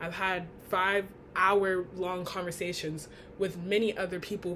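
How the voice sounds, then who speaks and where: Here is an unremarkable speaking voice from a woman at a medium pitch. She talks fairly slowly. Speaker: college student. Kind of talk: class speech.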